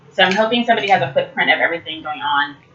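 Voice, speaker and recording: Through noticeable background noise, a woman with an American accent talks at a very fast pace. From Detroit area, Michigan; later California. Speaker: vlogger. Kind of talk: casual vlog monologue. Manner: halting, many fillers and restarts.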